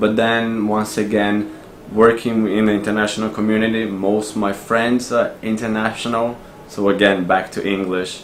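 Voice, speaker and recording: Delivered at a moderate pace, the speech has monotone, flat intonation against noticeable background noise. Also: man, fairly low pitch for a man. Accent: Brazilian. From Brazil. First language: Portuguese. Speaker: expat office worker. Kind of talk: interview answer.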